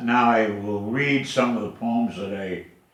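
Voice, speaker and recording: The speech moves at a very slow pace, with audible room echo. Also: man. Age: 80s+. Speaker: poet. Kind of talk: poetry reading.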